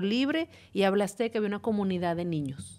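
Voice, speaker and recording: Lively intonation marks this woman's medium-pitched voice. She speaks at a moderate pace. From Mexico. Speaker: podcast host, parenting educator. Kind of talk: casual chat. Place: studio. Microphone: studio mic.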